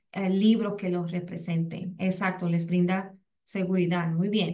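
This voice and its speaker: A woman with a Puerto Rican accent at a fairly slow pace. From Puerto Rico. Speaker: educator, English as a second language specialist. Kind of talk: webinar presentation. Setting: online webinar. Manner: halting, many fillers and repetitions.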